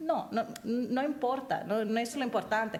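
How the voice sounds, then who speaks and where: This woman's pitch varies in an ordinary way as she talks at a moderate speed. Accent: non-native. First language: not Spanish (speaking Spanish). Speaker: human rights advocate, conference speaker. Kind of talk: panel discussion, answering audience. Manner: halting, many false starts.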